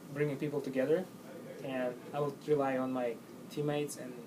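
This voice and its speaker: Against noticeable background noise and audible room echo, a man with a fairly high pitch speaks at a moderate pace in a monotone, flat intonation. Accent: non-native. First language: not English. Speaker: job interview candidate. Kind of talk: job interview answers. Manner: halting.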